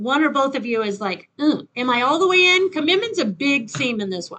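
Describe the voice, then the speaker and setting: A woman speaks in a raised, projected voice at a high pitch and a fairly quick pace. Her tone is bright and sharp, with very wide pitch swings. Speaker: tarot reader. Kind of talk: tarot reading. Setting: home with windows open. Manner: loud.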